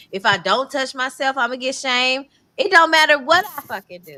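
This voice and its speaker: Raising and projecting her voice, a woman speaks in a high pitch with ordinary pitch variation. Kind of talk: heated debate. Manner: loud.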